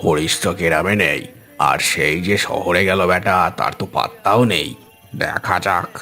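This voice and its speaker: A man puts on a cartoonish character voice with a very deep, low pitch and ordinary pitch variation. He keeps a moderate pace while clear music plays in the background. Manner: rustic, colloquial.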